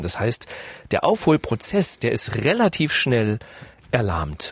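A man speaks at a very slow pace, with vocal fry and very wide pitch swings. The sound is dry and close, with no echo. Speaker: radio business journalist, podcast host. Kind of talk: podcast interview.

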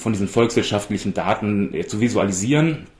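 A man with a normal speaking voice, ordinary pitch variation and a fairly quick pace. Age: 40s. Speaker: data journalist. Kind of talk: interview.

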